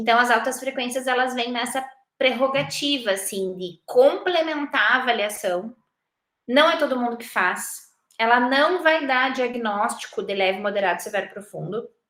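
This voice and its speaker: This woman's voice is high-pitched with a bright, sharp tone. She uses lively intonation at a moderate pace. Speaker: university lecturer in audiology. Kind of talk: recorded lecture.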